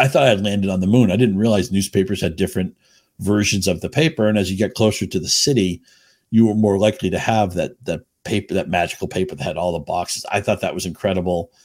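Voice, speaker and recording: A man with an American accent, very fast and fairly low-pitched, with ordinary pitch variation, on a very clean recording with a silent background. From New England, Chelmsford, Massachusetts. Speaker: fantasy baseball writer. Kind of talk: casual interview.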